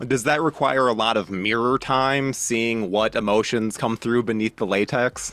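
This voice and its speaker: A man with an unremarkable speaking voice talks at medium pitch and a moderate pace, with fairly even intonation, very even loudness, hardly any pauses and a dry, close sound with no echo. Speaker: interviewer. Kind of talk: interview questions.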